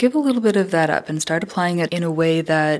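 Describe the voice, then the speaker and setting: An ordinary speaking voice with an American accent shows ordinary pitch variation. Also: woman. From Southern Colorado. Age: 20s. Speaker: social science researcher. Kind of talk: interview conversation.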